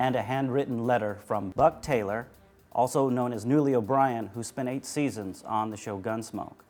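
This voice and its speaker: Music in the background, a man speaks at a medium pitch and a moderate pace with fairly even intonation. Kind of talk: auction house presentation of firearms.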